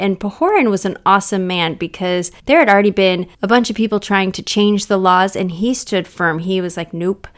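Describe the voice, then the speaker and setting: This very clean recording with a silent background has a woman speaking at a medium pitch and a moderate pace, with ordinary pitch variation. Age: 40s. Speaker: podcast host. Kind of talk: casual scripture talk for children.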